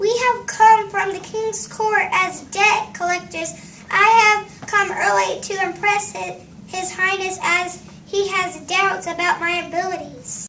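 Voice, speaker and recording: A squeaky, put-on character voice from a woman, extremely high in pitch, at a fairly slow pace over clear background noise. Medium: stage play. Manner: confused, formal.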